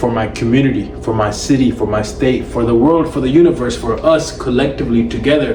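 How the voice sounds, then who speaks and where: Over noticeable background noise and audible room echo, a man talks at a moderate pace. His intonation is lively. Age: young. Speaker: self-help coach. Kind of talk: motivational monologue.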